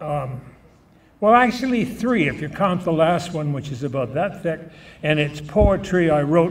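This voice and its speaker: A man's fairly high voice with a Canadian accent at a moderate pace, with audible room echo and noticeable background noise. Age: 90s. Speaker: event emcee, former radio morning show host. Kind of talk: speech at a gala dinner. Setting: banquet hall with audience, microphone. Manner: humorous, conversational.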